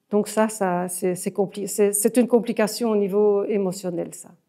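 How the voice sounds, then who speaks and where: At a fairly slow pace, a woman speaks with a medium pitch, a dark, mellow tone and fairly even intonation. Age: 70s. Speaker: family caregiver. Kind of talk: interview testimony. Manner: halting, many hesitations.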